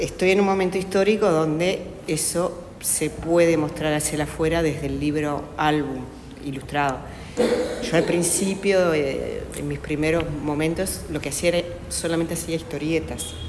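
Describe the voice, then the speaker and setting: A woman at a fairly low pitch and a moderate pace, with noticeable background noise and audible room echo. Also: fairly even intonation. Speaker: children's book author and illustrator. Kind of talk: panel discussion. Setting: panel talk with live audience in an institute. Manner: quiet, hesitant with many fillers.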